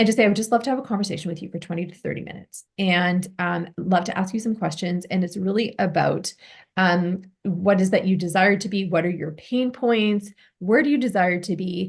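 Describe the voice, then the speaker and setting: Somewhat breathy and at medium pitch, a woman speaks at a fairly quick pace with ordinary pitch variation. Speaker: business and visibility coach. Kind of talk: one-on-one coaching session. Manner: fast.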